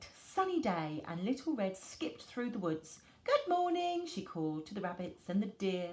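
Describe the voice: Someone reads aloud in a plain way.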